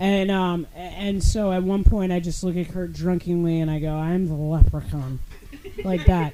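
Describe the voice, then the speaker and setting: Loudness swings widely at a moderate pace over noticeable background noise. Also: woman, fairly low pitch for a woman, fairly even intonation. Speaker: podcast guest. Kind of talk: casual chat. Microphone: poor audio quality.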